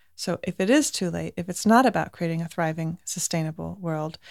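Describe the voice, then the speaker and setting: In a very clean recording with a silent background, an unremarkable speaking voice moves at a fairly quick pace. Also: woman. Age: 40s. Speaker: nonprofit founder and director. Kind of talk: interview. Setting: houseboat.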